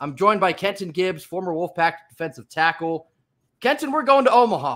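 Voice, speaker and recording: At a fairly quick pace, a man speaks in a high voice that makes very wide pitch swings. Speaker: sports podcast host. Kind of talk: casual sports podcast talk. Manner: animated.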